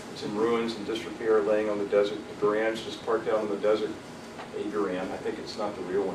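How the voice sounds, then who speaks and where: The speaker talks at a very fast pace with an American accent, in a monotone, flat intonation with big swings in loudness. Audible room echo and noticeable background noise fill the recording. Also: man. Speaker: technical session speaker on rocketry competition. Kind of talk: presentation to an audience.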